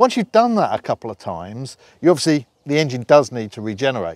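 Over light background noise, a man speaks at a fairly quick pace with very wide pitch swings. The sound is dry, with no echo. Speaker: company director demonstrating a tractor. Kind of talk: product demo tutorial. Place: farm machine.

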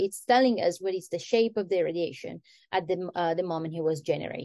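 A woman speaks with an Italian accent and ordinary pitch variation. The background is quiet and the sound is dry with no echo. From Italy. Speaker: astrophysics PhD student; guest. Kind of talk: lecture. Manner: halting. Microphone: webcam.

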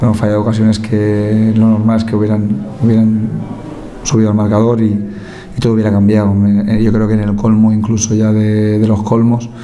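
A man's fairly low voice at a fairly quick pace, monotone and flat in intonation, very even in loudness, over light background noise. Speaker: football coach. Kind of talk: press conference answer. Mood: frustrated after a loss. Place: meeting room. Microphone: podium.

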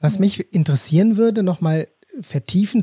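With a dark, mellow tone and lively intonation, a man speaks at a moderate pace, the sound dry and close with no echo. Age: 50s. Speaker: podcast host. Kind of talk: interview.

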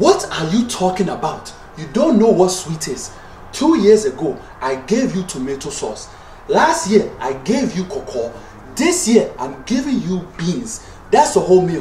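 A man speaks at a fairly slow pace with music in the background and audible room echo. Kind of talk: comedic sketch dialogue. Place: home room. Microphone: phone near.

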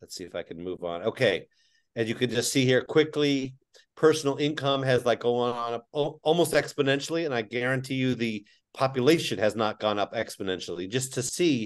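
A man talks at a moderate pace with ordinary pitch variation. His loudness swings widely over a quiet background. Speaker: teachers union leader. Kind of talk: panel presentation. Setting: video call. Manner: animated. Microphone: video call.

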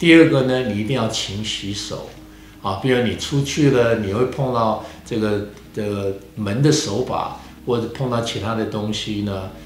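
A man talks at a fairly slow pace with ordinary pitch variation. Audible room echo and light background noise surround him. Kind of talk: interview answer. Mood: calm, reassuring. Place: studio. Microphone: handheld.

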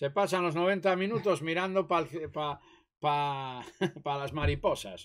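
A man with an unremarkable speaking voice talks at a fairly slow pace, fairly high in pitch with ordinary pitch variation. The recording is very clean, with a silent background. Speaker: host's father. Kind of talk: casual chat. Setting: live stream.

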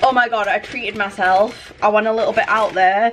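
A woman speaks at a fairly quick pace and a fairly high pitch. Noticeable background noise is present. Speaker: vlogger and university student. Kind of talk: casual vlog monologue. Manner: chatty, giggly.

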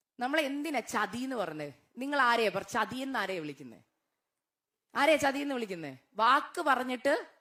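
Animated and high-pitched, a woman's voice makes very wide pitch swings. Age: 30s. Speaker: guest preacher. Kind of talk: sermon with personal testimony. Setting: church.

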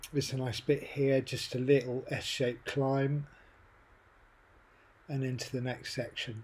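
A man speaks at a moderate pace in a flat, monotone delivery that is somewhat breathy. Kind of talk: riding commentary. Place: bicycle.

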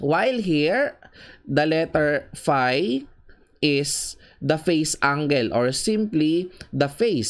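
The recording is very clean, and the background is silent. The speech unfolds at a very slow pace. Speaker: engineering lecturer. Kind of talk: lecture.

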